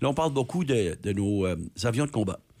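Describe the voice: Here a man speaks fast at a medium pitch. His tone is slightly mellow and his intonation lively.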